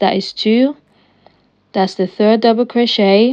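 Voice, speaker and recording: This woman has an unremarkable speaking voice, fairly high in pitch, moving at a moderate pace with fairly even intonation. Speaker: crochet tutorial creator. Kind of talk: tutorial.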